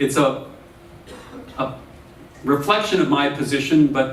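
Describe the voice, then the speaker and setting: A man speaks at a medium pitch with ordinary pitch variation, over noticeable background noise and audible room echo. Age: 50s. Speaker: professor. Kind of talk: lecture.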